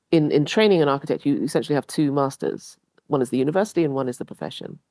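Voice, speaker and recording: A woman talks very fast with a very deep, low pitch and ordinary pitch variation. Her tone is dark and mellow, and the sound is dry and close with no echo. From Ghana. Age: 60s. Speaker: architect and professor. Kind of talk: radio interview.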